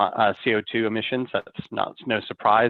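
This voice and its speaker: In an American accent, a man with a medium-pitched voice uses fairly even intonation and an ordinary speaking voice. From United States. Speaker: fixed income fund manager. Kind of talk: interview.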